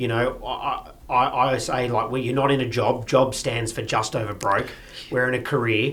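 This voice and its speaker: A man speaks with an Australian accent in a flat monotone. Noticeable background noise runs underneath. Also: medium pitch for a man, moderate pace. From Sydney, Australia. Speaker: auctioneer. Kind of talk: interview answer.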